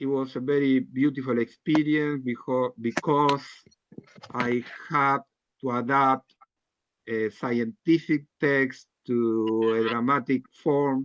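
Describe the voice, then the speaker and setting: Speaking with a non-native accent, a man talks at a medium pitch and a very slow pace, with fairly even intonation and long, frequent pauses. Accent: non-native English accent, self-described. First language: not English. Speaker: healthcare worker and writer. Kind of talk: group video call discussion. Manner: halting.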